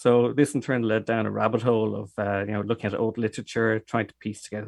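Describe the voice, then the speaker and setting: Against a quiet background, a man talks at a very fast pace. His voice sits fairly low with monotone, flat intonation. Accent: Irish. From Dublin, Ireland. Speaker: cider maker. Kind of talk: interview.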